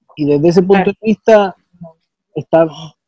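Here a man speaks at a high pitch in a dark, mellow tone. The sound is dry and close, with no echo. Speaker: podcast co-host. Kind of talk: casual chat.

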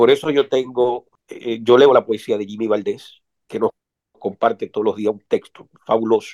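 A man speaks at a moderate pace with long, frequent pauses. The recording is dry and close, with no echo. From Dominican Republic. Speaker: writer and poet. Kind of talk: interview.

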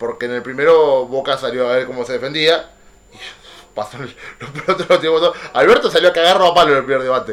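Over noticeable background noise, a man speaks at a fairly quick pace in a fairly high pitch, with ordinary pitch variation and big swings in loudness. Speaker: podcast host. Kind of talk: casual chat.

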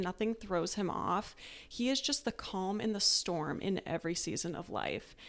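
A woman with an American accent has a normal speaking voice at a medium pitch with ordinary pitch variation. She speaks at a fairly slow pace. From Tucson, Arizona. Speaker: guest, wife, military officer. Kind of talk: casual interview chat.

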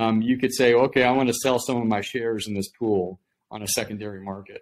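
A man with an American accent and a normal speaking voice talks at a moderate pace with a medium pitch and fairly even intonation. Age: 50s. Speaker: startup executive. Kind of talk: interview.

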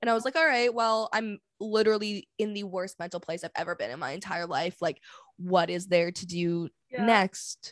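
A woman with a plain, everyday voice and a Canadian accent talks at a fairly quick pace with ordinary pitch variation, on a very clean recording with a silent background and a dry, close sound with no echo. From Vancouver, Canada. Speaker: podcast host. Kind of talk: casual chat.

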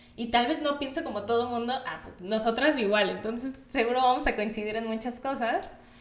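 A woman with a high pitch and ordinary pitch variation talks at a fairly quick pace with hardly any pauses, big swings in loudness and audible room echo. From Mexico, Acapulco (Guerrero coast). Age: 20s. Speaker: podcast co-host, nutritionist. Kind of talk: casual chat.

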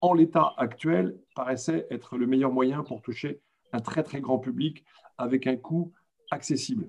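A man speaks at a very slow pace. His voice has medium pitch and a dark, mellow tone. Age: 60s. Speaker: retired comics publisher. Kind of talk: panel discussion.

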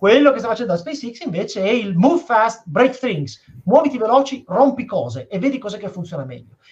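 A man with a high voice talks very fast, his loudness rising and falling sharply. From Piedmont, northern Italy. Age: 20s. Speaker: astrophysicist and science communicator. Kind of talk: interview on a live stream.

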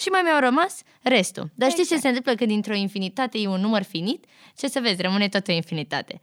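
Very fast and fairly high-pitched, a woman's speech swings very widely in pitch, recorded very cleanly with a silent background and a dry, close sound with no echo. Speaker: podcast host. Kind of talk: casual interview.

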